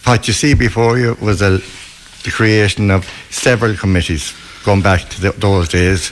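Against noticeable background noise, a man with a west of Ireland accent speaks at a moderate pace and fairly low pitch with fairly even intonation. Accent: west of Ireland Irish. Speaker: club chairman. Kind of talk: casual interview. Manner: jokey.

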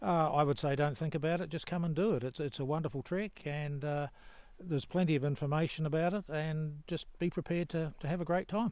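With a fairly high pitch, a man speaks at a fairly quick pace and keeps his intonation fairly even. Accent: New Zealand. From New Zealand. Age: 70s. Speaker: long-distance hiker. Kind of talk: casual interview. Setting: trail hut with other hikers.

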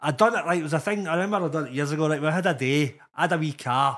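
In a Glasgow accent, a man with a fairly high pitch talks at a very fast pace with ordinary pitch variation, on a very clean recording with a silent background. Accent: Scottish (Glasgow area). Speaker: comedian. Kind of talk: casual chat.

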